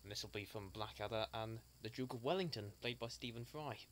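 A man speaks at a fairly quick pace in a fairly bright tone. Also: fairly low pitch for a man, ordinary pitch variation.

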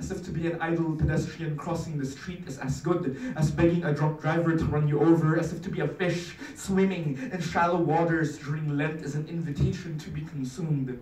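A man with a fairly high pitch and fairly even intonation, at a fairly quick pace with hardly any pauses, in audible room echo. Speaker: spoken word poet. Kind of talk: spoken word poetry performance. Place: meeting room. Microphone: camera far.

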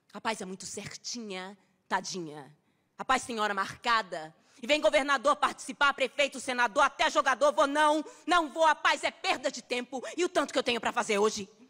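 A raised, projected voice, intense and bright and sharp in tone, with lively intonation, moderate pace and a quiet background. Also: woman, high pitch for a woman. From Brazil. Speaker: actress performing a poem. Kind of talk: spoken-word poem performed as an angry, defiant monologue. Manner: fierce, defiant and sarcastic, with biting, rhythmic emphasis; intense and emotional, cracking into grief near the end. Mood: defiant, sarcastic, intense. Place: stage. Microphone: studio mic.

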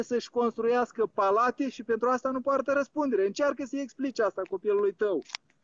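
Extremely high male pitch with ordinary pitch variation at a fairly quick pace. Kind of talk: call-in discussion. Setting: outdoors.

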